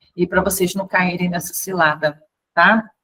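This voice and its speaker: A woman with a somewhat breathy voice speaks at a moderate pace. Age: 50s. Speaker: tarot and fortune-telling teacher. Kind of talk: online class lecture. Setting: recorded video call. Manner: casual, chatty.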